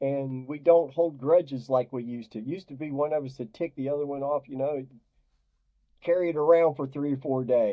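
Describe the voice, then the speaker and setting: Fairly quick and fairly high-pitched, a man talks with fairly even intonation but big swings in loudness. He has an unremarkable speaking voice. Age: 60s. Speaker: diet coach for depression. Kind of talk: interview.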